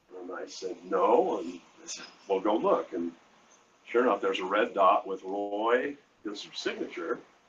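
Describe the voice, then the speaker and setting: There is noticeable background noise as a man with an American accent talks at a fairly slow pace. His loudness swings widely. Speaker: artist. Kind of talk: interview. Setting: live event. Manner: halting.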